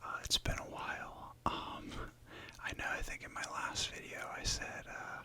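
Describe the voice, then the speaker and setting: Someone is whispering at a fairly slow pace over noticeable background noise. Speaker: ASMR content creator. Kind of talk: ASMR whispered rambling, casual talk to camera. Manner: whispered, rambling, casual.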